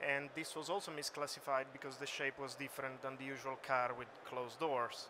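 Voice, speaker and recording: In an Italian accent, a man with a fairly high pitch delivers flat, monotone speech in a bright, sharp tone. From Italy. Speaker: computer vision researcher. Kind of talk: conference talk. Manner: hesitant, many fillers.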